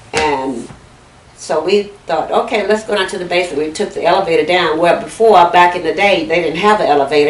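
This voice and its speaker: Noticeable background noise sits behind a woman with an American accent. Her pitch is fairly low, with ordinary variation. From Fayette County, Texas. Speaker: oral history interviewee. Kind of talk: interview answer.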